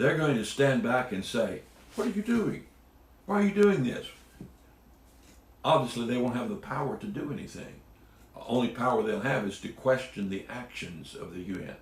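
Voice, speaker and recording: A man talks at a moderate pace with a medium pitch and very wide pitch swings. Long, frequent pauses break his speech, and room echo is audible. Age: 70s. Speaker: Bible teacher. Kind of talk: Bible teaching talk. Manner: casual.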